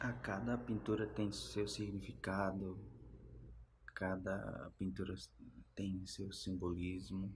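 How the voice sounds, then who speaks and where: Speech comes at a very slow pace with long, frequent pauses and vocal fry. Pitch varies in an ordinary way over light background noise. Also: man, very deep, low pitch for a man. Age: 30s. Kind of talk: interview answers. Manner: halting, with many fillers. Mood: calm, earnest. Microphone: phone near.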